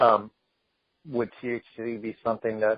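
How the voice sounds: The sound is dry and close, with no echo. A man speaks at a fairly low pitch.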